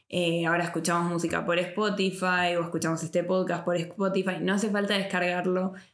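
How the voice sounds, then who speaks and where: Speaking with hardly any pauses, a woman holds a fairly low pitch, very even loudness, and monotone, flat intonation, with audible room echo around her. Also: fairly quick pace. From Argentina. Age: 30s. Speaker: podcast host. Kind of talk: interview. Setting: in person recording.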